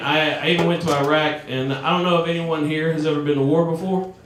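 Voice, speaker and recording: Someone talks at a very fast pace against noticeable background noise. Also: man. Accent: Southern US. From US South. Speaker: comedian. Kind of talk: stand-up. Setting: stage with audience. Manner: animated.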